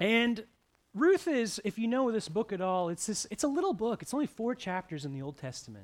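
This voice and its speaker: Fairly quick and high-pitched, a man's voice swings very widely in pitch. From Eastern Ontario, Canada. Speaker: pastor. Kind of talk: sermon. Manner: conversational.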